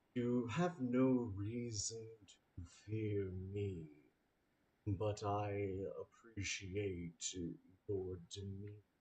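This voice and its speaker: A man uses a put-on character voice pitched fairly low. He speaks at a very slow pace with long, frequent pauses. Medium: actual play. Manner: calm, stately.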